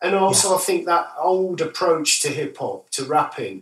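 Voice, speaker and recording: This man speaks with an East Midlands accent. His pace is moderate. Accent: northern English, East Midlands. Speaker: musician. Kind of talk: casual interview.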